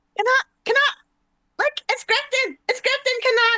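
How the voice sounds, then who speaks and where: A squeaky, put-on character voice, female-sounding and extremely high in pitch for a woman, at a moderate pace. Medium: actual play. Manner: playful, teasing.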